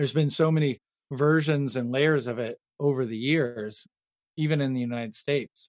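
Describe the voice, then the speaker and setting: A man with an American accent speaks at a moderate pace and a fairly high pitch. His intonation is fairly even, and the sound is dry and close with no echo. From Northern California. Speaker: builder and woodworker. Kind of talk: interview.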